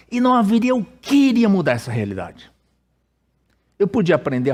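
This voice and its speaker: In a Brazilian accent, a man talks at a moderate pace with very wide pitch swings. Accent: Brazilian accent noticeable abroad. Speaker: pastor. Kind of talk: sermon. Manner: casual, conversational with hesitations.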